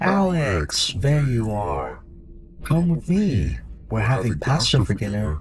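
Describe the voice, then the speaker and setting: Over clear background noise, a man does a put-on character voice at medium pitch and a fairly slow pace. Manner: warm, loving, falsely affectionate.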